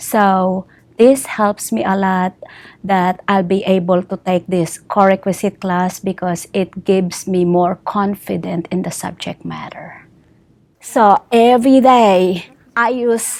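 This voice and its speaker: Her pace is very slow as this woman talks. The pitch is medium and varies in an ordinary way. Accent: non-native. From outside the US. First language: not English. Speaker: adult college student. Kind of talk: testimonial interview. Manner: halting.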